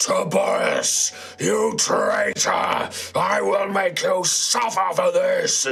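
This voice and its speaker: Bellowing in a put-on character voice, the speaker moves at a very slow pace. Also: man. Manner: enraged, threatening.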